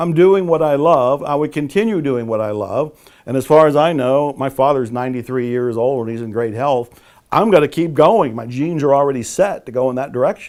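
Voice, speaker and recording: A man speaks in an ordinary speaking voice with a fairly high pitch. His pace is moderate and his intonation lively. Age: 60s. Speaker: author and motivational speaker. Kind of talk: interview.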